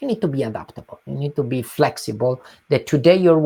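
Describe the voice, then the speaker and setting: A man with an Italian accent, very fast, medium-pitched and dark and mellow in tone, with lively intonation and a dry, close, echo-free sound. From southern Italy, Calabria. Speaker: nonprofit executive. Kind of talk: interview.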